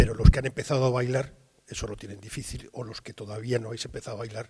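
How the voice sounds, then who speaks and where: A man's medium-pitched voice, dark and mellow in tone, with vocal fry. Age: 60s. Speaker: journalist, war correspondent. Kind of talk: interview at university talk. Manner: hesitant, many fillers.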